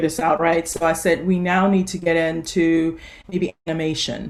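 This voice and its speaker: A woman with a Louisiana accent talks at a moderate pace and fairly low pitch. Her intonation is monotone and flat. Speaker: nurse practitioner and author. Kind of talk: conference talk.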